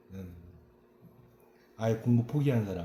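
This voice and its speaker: The tone is dark and mellow, somewhat breathy. Intonation is lively. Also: man. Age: 50s. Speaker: local news reporter. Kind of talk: interview.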